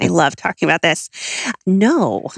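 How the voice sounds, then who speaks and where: Recorded dry and close with no echo, a woman with an American accent speaks at a moderate pace. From Southern California. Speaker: consumer research head at a retail trade group. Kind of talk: interview about retail research data.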